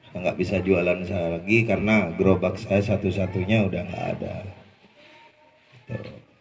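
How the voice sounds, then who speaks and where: At a moderate pace, a man speaks in a flat monotone with a very deep, low pitch, and the room echo is audible. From Madura, Indonesia. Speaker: former street food vendor sharing testimony. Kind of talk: testimony. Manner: casual, conversational.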